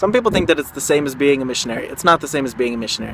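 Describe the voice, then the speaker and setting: Noticeable background noise sits behind this man. His intonation is lively. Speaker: vlogger. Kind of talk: vlog. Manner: halting.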